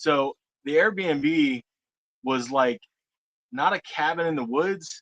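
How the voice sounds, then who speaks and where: With an American accent, a man talks at a very slow pace and fairly high pitch, leaving long, frequent pauses, in a dry, close sound with no echo. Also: ordinary pitch variation. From Florida. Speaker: witness telling a Bigfoot encounter. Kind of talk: casual storytelling.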